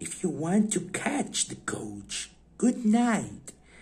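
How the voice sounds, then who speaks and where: Putting on a character voice, a man talks at a very slow pace in a high pitch with ordinary pitch variation. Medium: read story. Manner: polite but cold.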